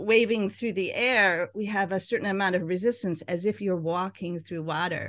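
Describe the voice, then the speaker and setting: Against a quiet background, a woman speaks in an unremarkable speaking voice. Her pitch is medium, with ordinary variation, and her pace moderate. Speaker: co-host. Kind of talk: interview, casual chat. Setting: video call.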